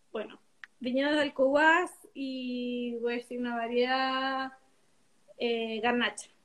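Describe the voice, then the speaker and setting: A woman at high pitch, at a very slow pace, with fairly even intonation and long, frequent pauses. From southern Chile (Biobío, Temuco). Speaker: winemaker. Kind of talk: casual interview. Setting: video call.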